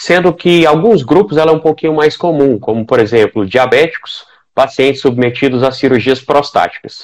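A man talks in a normal speaking voice, fairly high in pitch with ordinary variation. His pace is moderate and his loudness very even. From Goiás, Brazil. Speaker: urologist. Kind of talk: casual chat. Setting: live stream.

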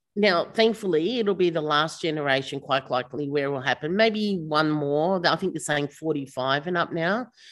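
With an Australian accent, a woman speaks in a very deep, low pitch with lively intonation. Her pace is moderate, with hardly any pauses. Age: 50s. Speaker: startup founder and CEO. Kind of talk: casual interview chat.

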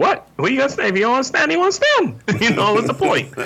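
A put-on character voice, fairly high in pitch, at a very fast pace. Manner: dismissive, incredulous.

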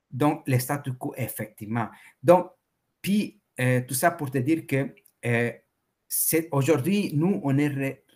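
A man with a fairly high, somewhat breathy voice talks at a very slow pace with ordinary pitch variation and long, frequent pauses. The recording is very clean, with a silent background. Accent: Spanish. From El Salvador. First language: Spanish (speaking French). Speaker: entrepreneur and Bitcoin enthusiast. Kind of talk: interview.

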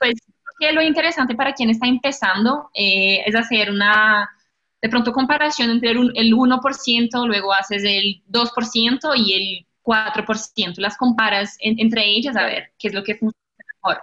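In a Portuguese accent, this speaker talks at a fairly slow pace with a bright, sharp tone. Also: woman, fairly high pitch for a woman, ordinary pitch variation. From Brazil. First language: Portuguese (speaking Spanish). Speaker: digital marketing specialist. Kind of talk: interview.

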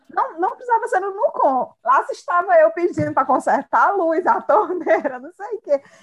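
A woman speaks at an extremely high pitch, with very wide pitch swings and big swings in loudness. She leaves hardly any pauses. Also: moderate pace. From Brazil, Ceará sertão (Quixadá). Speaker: psychology professor. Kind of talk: casual chat.

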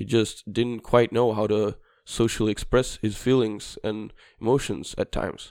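A man's fairly low voice in a Swedish accent, with fairly even intonation and a moderate pace, in a very clean recording over a silent background. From southern Sweden (Skåne). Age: 20s. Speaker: preschool teacher student. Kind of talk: casual chat. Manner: halting.

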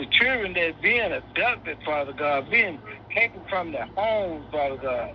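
The speaker's pitch swings very widely at a moderate pace, with noticeable background noise behind the voice. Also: man, high pitch for a man. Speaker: prayer participant. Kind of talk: prayer. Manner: repetitive, fervent.

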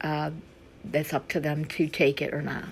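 A woman's very deep, low voice, somewhat breathy, at a fairly slow pace with fairly even intonation. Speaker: podcast host. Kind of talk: casual monologue. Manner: chatty.

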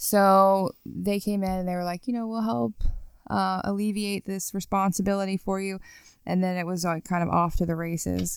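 A woman with an ordinary speaking voice talks at a moderate pace and medium pitch on a very clean recording with a silent background. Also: fairly even intonation. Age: 30s. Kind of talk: testimony. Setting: studio.

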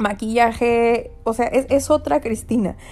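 Fairly even intonation carries this very slowly paced speech. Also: woman. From Mexico. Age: 20s. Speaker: podcast host, graduate student. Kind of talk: casual monologue podcast. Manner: frequent laughter, filler words.

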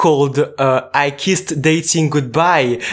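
A man with a fairly high pitch and a fairly slow pace. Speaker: podcast host, student. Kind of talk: interview.

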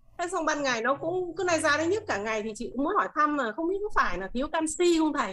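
Against noticeable background noise, a woman speaks very fast at a high pitch with very wide pitch swings and hardly any pauses. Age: 40s. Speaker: class participant. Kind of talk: question in an online class.

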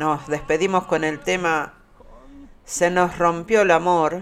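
A man speaks with a Uruguayan accent at a very slow pace. His tone is warm. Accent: Uruguayan Rioplatense Spanish. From Uruguay, Montevideo. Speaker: radio host. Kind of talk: radio show presenting. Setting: studio. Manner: warm, hesitant with fillers.

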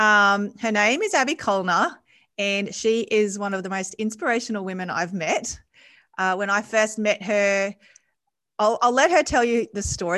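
A woman's medium-pitched voice, bright and sharp in tone, with fairly even intonation. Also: quiet background. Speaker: podcast host. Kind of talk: interview conversation.

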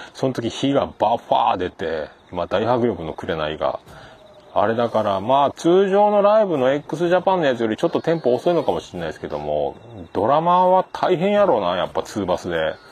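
Noticeable background noise sits behind a man who talks at a fairly quick pace, his pitch swinging very widely. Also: medium pitch for a man. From Japan, Fukuoka (Hakata). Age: 40s. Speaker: podcast host. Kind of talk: casual solo monologue. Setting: outdoors by a riverbank. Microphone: handheld iPhone / voice recorder.

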